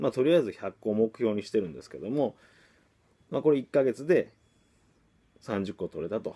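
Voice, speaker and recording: Vocal fry and a dark, mellow tone from a man at a fairly quick pace. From Kagawa, Japan (Takamatsu); Kagawa, Japan. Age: young. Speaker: marketing coach, copywriter; online course host. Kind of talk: motivational vlog monologue; casual daily vlog talk. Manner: many filler hesitations (え, あのー). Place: home room. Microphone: phone near.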